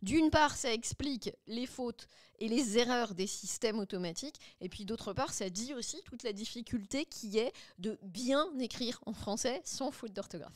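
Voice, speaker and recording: A woman speaks with a fairly high pitch, lively intonation and big swings in loudness. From France, Le Mans. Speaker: linguist and AI consultant. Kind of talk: interview. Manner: fast.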